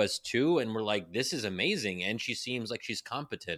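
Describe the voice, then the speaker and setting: On a very clean recording with a silent background, a voice in an American accent carries a bright, sharp tone. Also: man. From US, Pennsylvania. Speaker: policy think tank fellow and author. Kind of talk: casual chat.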